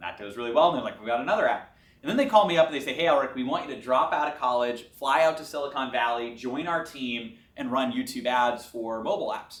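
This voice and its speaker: Noticeable background noise runs beneath speech delivered at a very fast pace. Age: 20s. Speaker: entrepreneur. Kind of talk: interview. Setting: office.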